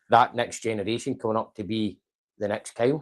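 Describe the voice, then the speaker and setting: A man with a Scottish accent talks in a monotone, flat way. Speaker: company manager hosting staff show. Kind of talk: casual interview. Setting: office Christmas lunch, live stream. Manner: loud.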